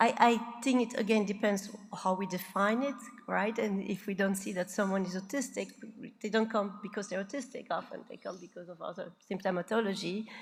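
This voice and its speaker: Noticeable background noise behind a woman's medium-pitched voice, fairly quick in pace, with fairly even intonation and big swings in loudness. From Belgium. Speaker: psychiatrist, keynote speaker. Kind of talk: conference Q&A. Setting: conference stage with audience.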